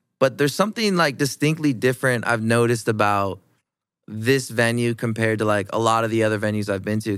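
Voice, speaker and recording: Very cleanly recorded against a silent background, a man with an unremarkable speaking voice talks at a fairly quick pace, medium in pitch with ordinary pitch variation. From Iowa, US Midwest. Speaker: podcast host. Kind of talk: casual interview. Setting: studio.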